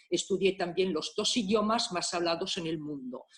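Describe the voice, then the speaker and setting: At a moderate pace, a woman with an Italian accent speaks at a fairly low pitch. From Italy, Milan. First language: Italian (speaking Spanish). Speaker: private detective. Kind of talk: conference talk. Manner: halting.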